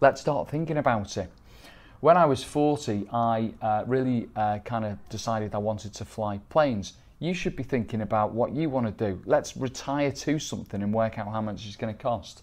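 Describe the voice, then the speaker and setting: This is a man with an English accent. His pitch sits in the medium range. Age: 50s. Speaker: wealth manager; presenter. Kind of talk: sales pitch. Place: office. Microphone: lapel.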